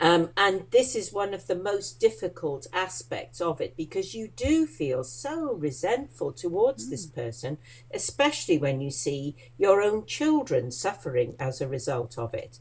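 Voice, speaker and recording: A somewhat breathy woman's voice, fairly low in pitch, with very wide pitch swings and a moderate pace. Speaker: life coach. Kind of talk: interview.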